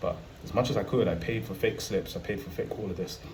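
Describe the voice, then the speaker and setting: A man with a British accent and fairly low pitch talks at a very fast pace, with audible room echo around him. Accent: UK. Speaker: travel vlogger. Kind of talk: casual monologue to camera.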